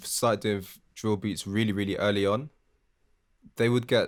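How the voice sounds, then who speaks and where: This man talks with a British accent on a very clean recording with a silent background. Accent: UK. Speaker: music producer, podcast host. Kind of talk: casual chat.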